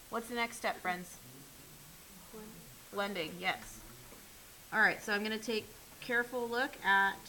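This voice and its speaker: A woman speaks at a fairly high pitch. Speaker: art teacher. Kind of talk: classroom drawing demonstration. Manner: fast.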